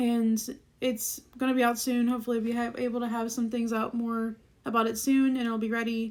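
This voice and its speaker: A woman talks at a fairly quick pace in a fairly high voice. Her intonation stays monotone and flat. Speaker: musician and video creator. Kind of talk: casual vlog talk. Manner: fast; many fillers, likes and ums.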